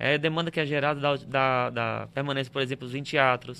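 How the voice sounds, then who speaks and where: Bright, sharp male voice at medium pitch, flat and monotone, at a fairly quick pace, in a very clean recording with a silent background. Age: 30s. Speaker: tour guide. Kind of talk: casual interview. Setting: live-streamed studio podcast.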